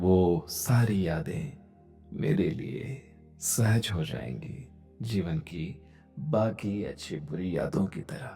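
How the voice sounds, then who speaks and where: Over music in the background, a man with a fairly low pitch speaks in very wide pitch swings. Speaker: meditation guide. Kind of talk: guided meditation. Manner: slow.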